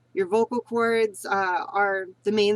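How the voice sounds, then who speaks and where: A woman talks in a fairly high pitch. The sound is dry and close, with no echo. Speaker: voice training vlogger. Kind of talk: tutorial. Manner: casual, halting.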